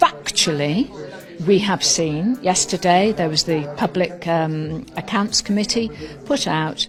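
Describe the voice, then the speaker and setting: Noticeable background noise sits under a woman speaking very slowly, her fairly low voice carrying lively intonation. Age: 60s. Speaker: political commentator. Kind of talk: political talk. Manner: animated.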